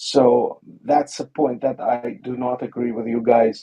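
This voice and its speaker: Pitched at a medium level, the man keeps his intonation fairly even. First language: not English. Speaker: caller. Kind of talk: heated debate. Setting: online audio room. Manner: halting.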